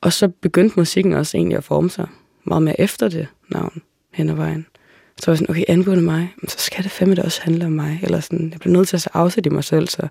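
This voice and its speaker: A woman talks very fast at a fairly low pitch with a dark, mellow tone. Her intonation is monotone and flat, with vocal fry. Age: 20s. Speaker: singer-songwriter. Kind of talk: casual interview conversation. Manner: hesitant, many fillers and repetitions.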